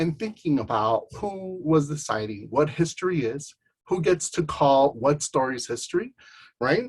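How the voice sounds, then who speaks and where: Somewhat breathy and fairly high, a man's voice moves at a moderate pace with lively intonation. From Chicago, grew up partly in Southern California and Jalisco. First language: Spanish. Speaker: artist and arts educator. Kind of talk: panel talk presentation. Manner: hesitant, many filler words.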